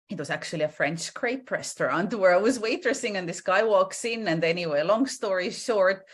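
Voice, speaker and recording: Lively intonation marks this woman's fairly quick speech in an Estonian accent, set against a quiet background. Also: medium pitch for a woman. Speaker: entrepreneur in hair care. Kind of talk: interview. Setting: video call.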